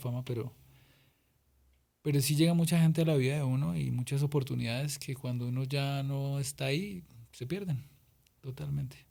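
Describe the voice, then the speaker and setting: The man's pitch is fairly high, his tone dark, mellow and somewhat breathy. His intonation stays fairly even. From Colombia, Boyacá. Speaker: singer-songwriter. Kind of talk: interview.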